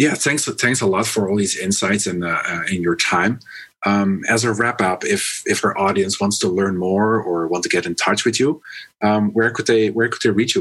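A man's fairly low voice with a Dutch accent, ordinary pitch variation and a moderate pace. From Netherlands. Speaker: business podcast host. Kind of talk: podcast interview. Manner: halting, many fillers.

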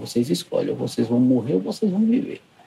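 A man speaks as noticeable background noise carries on around him. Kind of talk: interview.

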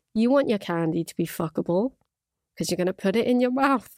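In an Irish accent, a woman speaks at a fairly high pitch with very wide pitch swings, the sound dry and close with no echo. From Ireland. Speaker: podcast host and YouTuber. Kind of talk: casual solo podcast, reacting to clips. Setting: studio. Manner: chatty, laughing, informal.

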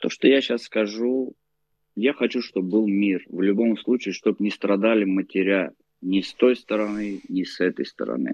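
At a moderate pace, a man speaks with fairly even intonation in an unremarkable speaking voice, fairly low in pitch. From Baku, then Moscow. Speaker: Armenian emigrant from Baku. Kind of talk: casual interview.

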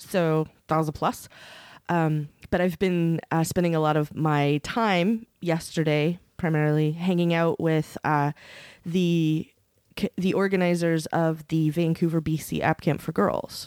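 A woman with a plain, everyday voice speaks at a fairly slow pace in a fairly low pitch, with fairly even intonation and very even loudness, in a very clean recording with a silent background and a dry, close sound with no echo. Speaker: podcast host. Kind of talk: casual chat.

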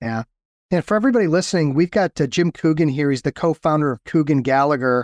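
At a very fast pace, a man speaks with ordinary pitch variation in a dry, close sound with no echo. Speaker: podcast host and lawyer coach. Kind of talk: casual interview chat.

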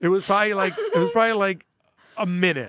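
The voice has a bright, sharp tone and a New York accent. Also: man. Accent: New York area. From New York, Westchester County (Port Chester). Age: 40s. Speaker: comedian. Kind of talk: casual chat.

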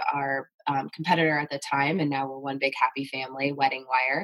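A woman speaks at a moderate pace in a very deep, low pitch. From US Midwest. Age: 30s. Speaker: marketing executive. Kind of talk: casual interview chat.

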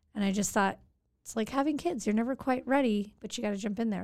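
A woman's medium-pitched voice in an American accent, with ordinary pitch variation and a very fast pace. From Santa Monica, California, US. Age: 40s. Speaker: city council member. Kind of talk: casual interview. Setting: podcast studio.

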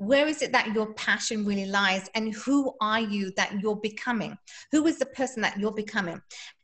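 A woman with an English accent speaks at a moderate pace, her fairly high pitch moving with ordinary variation. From England. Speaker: fitness instructor. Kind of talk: interview.

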